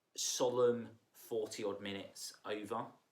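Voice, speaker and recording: A man of medium pitch speaks at a very slow pace. Room echo is audible. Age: 30s. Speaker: vlogger sharing personal mental health story. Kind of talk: personal testimony, unscripted monologue. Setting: sitting on the floor indoors. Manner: casual, hesitant with many fillers.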